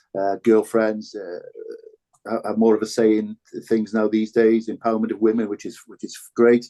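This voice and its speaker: A speaker with a Cardiff accent talks at a moderate pace in a flat, monotone delivery. The tone is dark and mellow, and the sound is dry and close with no echo. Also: man, medium pitch for a man. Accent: Cardiff Welsh English. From Wales, Cardiff (Ely). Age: 60s. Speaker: former rugby player and broadcaster. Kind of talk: podcast interview. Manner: halting, many repetitions.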